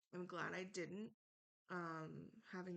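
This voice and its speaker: A woman speaks quietly with a fairly low pitch. Her intonation stays fairly even. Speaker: online reality game contestant. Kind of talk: speech to jury, casual monologue. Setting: home, recorded at night. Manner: hesitant, many ums; quiet, late at night.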